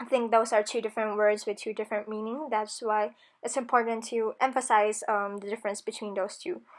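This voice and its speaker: A woman with a Filipino accent speaks at a fairly quick pace with fairly even intonation against a quiet background. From Philippines (Manila, Batangas). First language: Tagalog. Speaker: university student. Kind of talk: class project video narration. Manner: hesitant, many ums.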